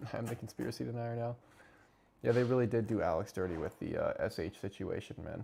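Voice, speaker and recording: In a very clean recording over a silent background, a man with an American accent speaks at a very fast pace. His tone is dark and mellow with vocal fry, and his pitch varies in an ordinary way. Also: medium pitch for a man. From United States. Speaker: live streamer. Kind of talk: casual livestream chat reacting to chat and clips. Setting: livestream away from home. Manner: quieter than usual, holding back volume.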